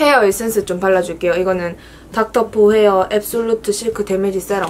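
With music in the background, a woman in a Busan accent speaks at a fairly quick pace. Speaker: beauty creator. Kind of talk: makeup tutorial, casual talk to camera. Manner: chatty, friendly. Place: home room. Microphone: phone near.

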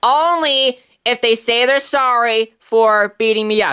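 A man uses a put-on character voice at an extremely high pitch, with ordinary pitch variation and a fairly slow pace. The tone is clear and smooth, yet also bright and sharp.

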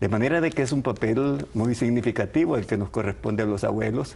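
A man's medium-pitched voice with vocal fry and a slightly mellow tone, fairly quick, with ordinary pitch variation

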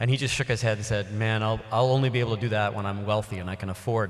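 The delivery is monotone and flat at a very fast pace. The background is quiet. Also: man. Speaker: speaker. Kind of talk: public talk. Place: hall. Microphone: podium.

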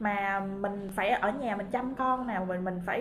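A somewhat breathy woman speaks with ordinary pitch variation against light background noise. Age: 30s. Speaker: direct sales distributor. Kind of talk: motivational talk. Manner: halting, many fillers. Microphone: webcam.

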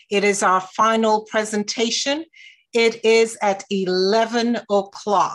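Against a quiet background, a woman talks at a very slow pace. Her fairly high voice keeps a fairly even intonation. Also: very even loudness. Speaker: women's ministries coordinator; moderator. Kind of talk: event welcome. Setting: video call. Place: home room. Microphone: video call.

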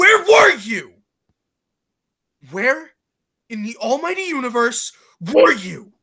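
A woman does a put-on character voice at a high pitch, with a bright, sharp tone and a slightly husky edge. She speaks at a slow pace with big pitch swings.

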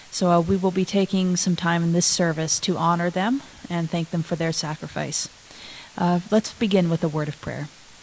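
The woman's intonation is fairly even. She speaks at a moderate pace. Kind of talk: prayer and poem reading in a service. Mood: solemn, reverent. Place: church. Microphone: podium.

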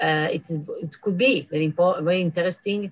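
A woman speaks with an Italian accent against a quiet background. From Italy. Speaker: professor. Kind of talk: conference lecture; lecture. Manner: halting. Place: office. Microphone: webcam.

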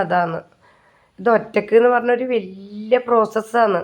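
A woman is talking. Her voice has a fairly high pitch. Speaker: vlogger. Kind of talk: casual vlog narration.

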